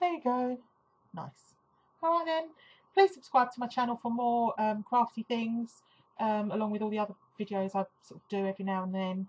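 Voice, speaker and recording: A woman with an English accent, fairly high pitch, lively intonation, moderate pace, long, frequent pauses and big swings in loudness. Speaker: craft blogger. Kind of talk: tutorial. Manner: soft-spoken; hesitant. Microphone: sometimes too quiet.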